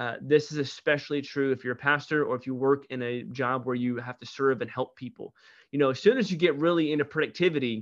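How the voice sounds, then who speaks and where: A man speaks with an American accent in an ordinary speaking voice, fairly high in pitch with ordinary pitch variation. The background is quiet. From US Midwest, St. Louis, Missouri. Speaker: pastor. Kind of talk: interview conversation.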